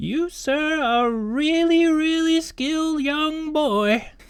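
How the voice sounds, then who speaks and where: Put-on character voice, high-pitched and very slow. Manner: sweet and smiling.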